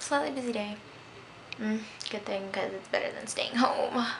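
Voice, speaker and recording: Through noticeable background noise, a woman speaks with ordinary pitch variation. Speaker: vlogger. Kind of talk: casual vlog chat. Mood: cheerful, upbeat. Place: home room. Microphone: phone near.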